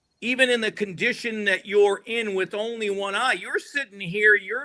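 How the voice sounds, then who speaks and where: With an American accent, a man projects a raised voice at a moderate pace, his tone animated, bright and sharp. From US Northeast, Rhode Island. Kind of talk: casual podcast interview.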